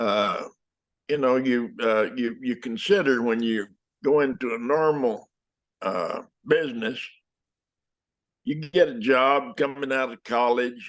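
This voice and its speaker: A man talks at a fairly slow pace with a medium pitch and ordinary pitch variation. He leaves long, frequent pauses against a quiet background. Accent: West Texas. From West Texas. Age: 80s+. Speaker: actor. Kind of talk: interview answer. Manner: hesitant, halting.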